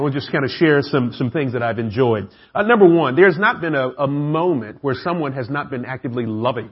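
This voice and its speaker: Speaking at a very fast pace with a Southern US accent, a man uses lively intonation and a fairly high pitch, his voice somewhat breathy. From Atlanta, US South. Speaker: preacher. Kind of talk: sermon. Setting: church.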